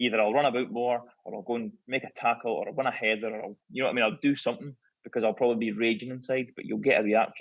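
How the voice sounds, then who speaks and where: Very fast speech from a man with a Scottish accent, at a medium pitch with ordinary variation. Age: 30s. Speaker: former professional footballer. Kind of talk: podcast interview, casual chat.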